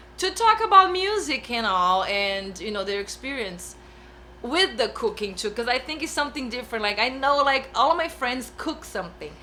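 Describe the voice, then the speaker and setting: Over noticeable background noise, a woman speaks in a raised, projected voice at a moderate pace, her high pitch swinging very widely. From Brazil. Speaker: bass player. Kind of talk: casual chat. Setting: studio.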